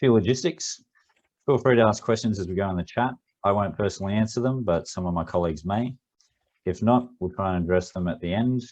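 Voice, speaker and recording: Against a quiet background, a man speaks at a very fast pace in a fairly low pitch with ordinary pitch variation. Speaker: business continuity consultant. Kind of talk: webinar presentation. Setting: online webinar, video off.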